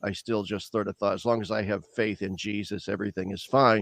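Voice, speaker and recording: Over a quiet background, a man talks with a Midwestern US accent in a dry, close sound with no echo. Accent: General American (Midwestern). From US Midwest, Lincoln, Nebraska. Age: 60s. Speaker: theologian. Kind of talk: interview.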